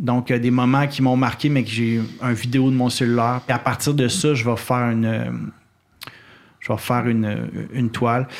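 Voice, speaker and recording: With long, frequent pauses, a man speaks at medium pitch in a monotone, flat way. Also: moderate pace, very even loudness. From Quebec City, Quebec. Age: 30s. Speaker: wildlife photographer. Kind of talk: casual interview conversation. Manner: halting, many repetitions and fillers.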